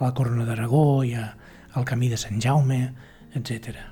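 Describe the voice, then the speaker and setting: Against noticeable background noise, a man talks at a medium pitch in a monotone, flat intonation. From Catalonia, Osona (Manlleu). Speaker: historian and musician. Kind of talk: interview. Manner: hesitant, many fillers.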